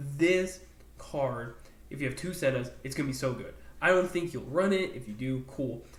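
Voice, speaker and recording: In a room with audible echo, a man with a fairly high pitch speaks at a moderate pace, somewhat breathy. His tone is animated, with ordinary pitch variation and big swings in loudness. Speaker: gaming YouTuber. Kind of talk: casual commentary video.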